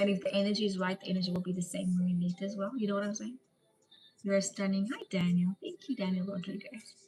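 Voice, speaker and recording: In a South African accent, a woman speaks at a medium pitch. Her delivery is very fast and monotone, with flat intonation. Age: 30s. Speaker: live streamer. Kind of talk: casual live stream chat. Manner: casual, chatty.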